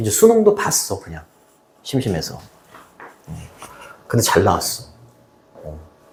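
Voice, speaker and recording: Pausing long and often, a man talks at a moderate pace while his loudness swings widely. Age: 60s. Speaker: high school English teacher. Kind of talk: casual chat with students. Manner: casual, repetitive.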